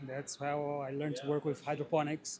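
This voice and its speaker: Speaking with a Brazilian Portuguese accent, a man has a fairly high pitch. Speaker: greenhouse grower. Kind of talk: interview. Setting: trade show.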